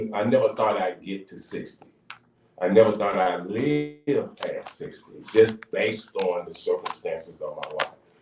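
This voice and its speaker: A man speaks at a moderate pace with big swings in loudness over noticeable background noise. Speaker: pastor and radio co-host. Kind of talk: radio talk show discussion. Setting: radio studio. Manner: halting, repeats words.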